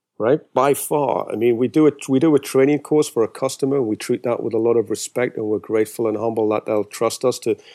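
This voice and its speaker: A man speaks very fast at a medium pitch, his tone dark and mellow and his intonation fairly even. The sound is dry and close with no echo, on a very clean recording with a silent background. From Britain. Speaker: conference organizer, training company head. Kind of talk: casual chat. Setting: call. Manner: halting, with fillers.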